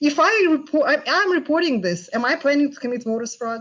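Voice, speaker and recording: This woman's high-pitched voice moves in very wide pitch swings. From Russia. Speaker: panelist, Trump voter. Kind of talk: panel discussion. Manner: unprepared, thinking aloud.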